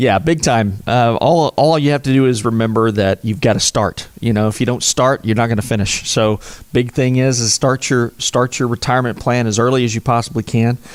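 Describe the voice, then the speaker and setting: In an Oklahoma accent, a man speaks at a fairly quick pace with hardly any pauses, fairly even intonation, very even loudness, and a dry, close sound with no echo. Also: medium pitch for a man. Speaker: financial advisor. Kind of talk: interview.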